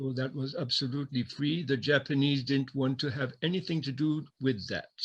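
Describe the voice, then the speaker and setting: The voice is somewhat breathy, with fairly even intonation and a moderate pace. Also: man, fairly high pitch for a man. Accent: French. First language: French. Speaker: former wartime camp prisoner. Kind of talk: interview testimony. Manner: halting.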